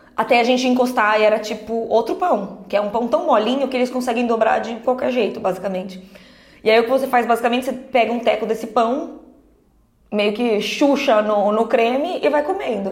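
With audible room echo, a woman talks at a fairly quick pace with fairly high pitch and ordinary pitch variation. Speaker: podcast co-host. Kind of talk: casual chat.

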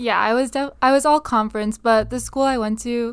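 With an American accent, a woman in a plain, everyday voice speaks at a fairly high pitch using fairly even intonation. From Upstate New York, Binghamton. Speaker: college volleyball player. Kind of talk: casual interview.

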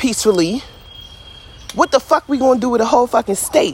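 A woman with an American accent speaks at a fairly quick pace in a high voice and an animated, passionate tone, recorded dry and close with no echo over noticeable background noise. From Philadelphia, US. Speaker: podcaster. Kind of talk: casual rant. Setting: outdoors, in a hammock. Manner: animated, passionate, blunt.

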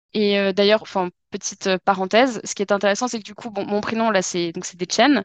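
A woman at medium pitch speaks in a flat monotone at a moderate pace. The sound is dry and close with no echo, over a quiet background. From southwest France, Dordogne. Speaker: French teacher. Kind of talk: casual chat. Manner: hesitant, many fillers.

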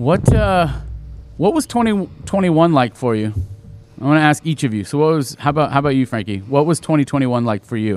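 Over music in the background, a man talks at a fairly quick pace with a fairly high pitch and lively intonation. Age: 40s. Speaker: school podcast host talking with pupils. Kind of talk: casual chat.

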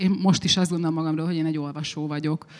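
Fairly low female voice in a monotone, flat intonation. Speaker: writer. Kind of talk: panel discussion on stage. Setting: festival stage with audience.

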